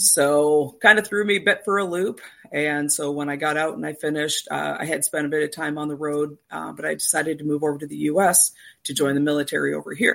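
On a very clean recording with a silent background, a woman with a Canadian accent and a very deep, low pitch talks fairly quickly with ordinary pitch variation. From Canada. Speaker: dispatcher and instructor. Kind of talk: casual interview chat.

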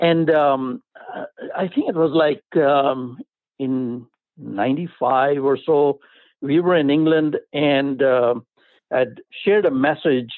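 Very slowly, a man speaks in an Indian accent with long, frequent pauses. His pitch is fairly high, with ordinary pitch variation and very even loudness. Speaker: pastor, life coach and artist. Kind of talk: interview. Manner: enthusiastic.

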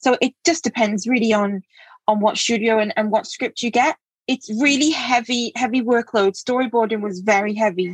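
A somewhat breathy voice at a fairly quick pace with ordinary pitch variation, dry and close with no echo over a quiet background. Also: woman. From England. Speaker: comic artist. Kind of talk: casual chat. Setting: studio with host.

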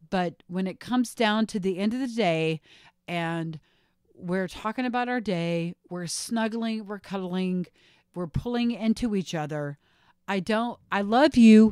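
A normal speaking voice at a fairly slow pace with ordinary pitch variation, recorded very cleanly against a silent background with a dry, close sound and no echo. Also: woman, medium pitch for a woman. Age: 40s. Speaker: podcast co-host. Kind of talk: casual chat.

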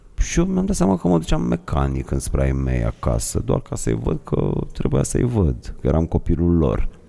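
A man talks at a moderate pace in a very deep, low pitch. His pitch varies in an ordinary way, and noticeable background noise is present. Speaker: podcast host. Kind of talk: casual chat.

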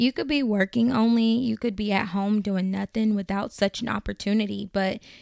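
Here a woman has a normal speaking voice, medium in pitch, with fairly even intonation. The recording is very clean with a silent background and a dry, close sound with no echo. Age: 20s. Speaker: faith-based advice podcaster. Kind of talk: advice podcast monologue.

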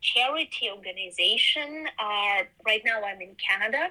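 A woman with a Ukrainian accent speaks at a fairly high pitch with lively intonation. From Ukraine. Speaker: quilter and textile artist. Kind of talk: interview. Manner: halting.

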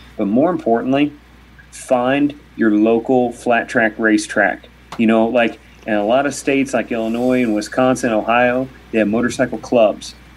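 A man with an American accent talks at a moderate pace in an ordinary speaking voice, his pitch medium. His loudness stays very even and his intonation fairly even. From Kentucky, US. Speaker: motorcycle racing reporter. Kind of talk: casual chat.

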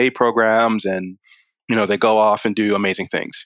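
A man with an American accent talks at a fairly quick pace in an ordinary speaking voice of medium pitch, the sound dry and close with no echo. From Maryland, Baltimore County. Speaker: software engineer. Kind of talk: interview.

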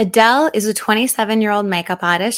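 A woman with an Australian accent at a fairly slow pace and ordinary pitch variation, in a very clean recording with a silent background. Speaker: podcast host and makeup artist. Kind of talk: casual chat.

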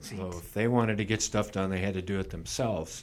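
A man with an ordinary speaking voice, pitched fairly low and delivered with fairly even intonation, comes through on a very clean recording with a silent background. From Washington, Missouri, US Midwest. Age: 60s. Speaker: mayor. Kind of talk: interview. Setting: studio.

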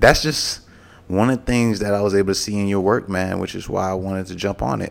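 A man with a fairly low voice talks fairly quickly. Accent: Southern US. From Mobile, Alabama. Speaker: podcast co-host, former college football player. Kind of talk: casual chat.

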